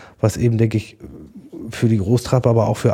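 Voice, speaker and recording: Somewhat breathy and fairly low in pitch, a man speaks in a passionate tone with a dark, mellow tone. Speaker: farmer and hunter. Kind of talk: podcast interview.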